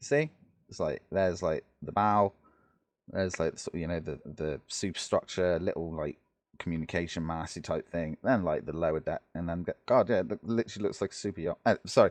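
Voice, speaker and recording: A man with a British accent at a fairly quick pace, dry and close with no echo, over a quiet background. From Britain. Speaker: gaming YouTuber. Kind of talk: gameplay commentary. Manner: casual, hesitant with many fillers.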